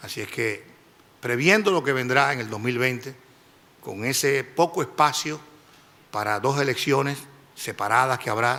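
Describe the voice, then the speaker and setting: Bright and sharp in tone, a man speaks at a medium pitch and a moderate pace with ordinary pitch variation. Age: 60s. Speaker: judicial candidate. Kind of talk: formal interview. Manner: formal.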